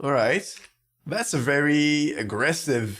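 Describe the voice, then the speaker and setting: Speaking at a very slow pace, a man with a French accent uses a fairly high pitch. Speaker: gaming YouTuber, card game commentator. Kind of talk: gameplay commentary. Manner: careful, deliberate pronunciation.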